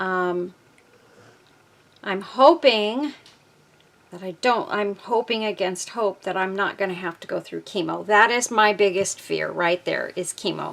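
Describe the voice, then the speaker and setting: At a fairly slow pace, a woman speaks at medium pitch with ordinary pitch variation, vocal fry and big swings in loudness. Her speech has long, frequent pauses. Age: 60s. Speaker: craft video maker. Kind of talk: casual chat; tutorial. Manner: casual, hesitant with many fillers.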